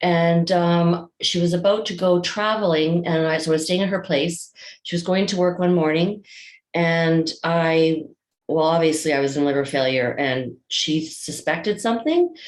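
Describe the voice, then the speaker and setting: Speaking with a Canadian accent, a woman keeps a fairly low pitch and fairly even intonation. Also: moderate pace. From Alberta, Canada. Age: 60s. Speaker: patient advocate. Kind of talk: testimony. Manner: halting, many fillers.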